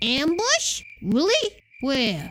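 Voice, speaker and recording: Pitched high, this is a put-on character voice. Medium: video game. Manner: sardonic, blunt.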